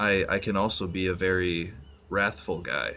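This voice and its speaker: Soft-spoken yet bright and sharp in tone, this man speaks with a very deep, low pitch. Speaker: gaming streamer. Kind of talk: casual gameplay commentary. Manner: soft-spoken, keeping quiet; subdued, low energy.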